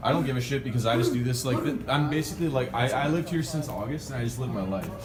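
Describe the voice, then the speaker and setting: Speech rushes by at a very fast pace with ordinary pitch variation, noticeable background noise and audible room echo. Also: man, medium pitch for a man. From Vancouver, Canada (Richmond). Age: 20s. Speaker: ski vlogger. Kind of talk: casual chat. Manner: animated.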